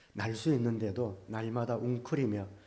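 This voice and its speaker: In a room with audible echo, a man of medium pitch talks at a fairly slow pace with fairly even intonation. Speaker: pastor. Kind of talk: sermon. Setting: church. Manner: many filler sounds (아, 어). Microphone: good mic, speaking from a distance.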